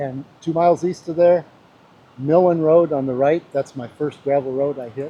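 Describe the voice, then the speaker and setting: Noticeable background noise runs under the recording. A man talks with fairly even intonation. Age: 70s. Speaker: motorcycle rider. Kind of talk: casual chat.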